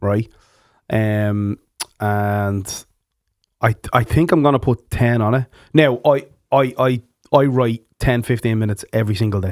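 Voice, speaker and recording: Someone with a Dublin accent speaks at a fairly slow pace, leaving long, frequent pauses. The recording is very clean, with a silent background. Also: man, medium pitch for a man, ordinary pitch variation, dry, close sound with no echo. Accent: Irish, Dublin. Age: 30s. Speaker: podcast host and musician. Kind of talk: casual chat. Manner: animated.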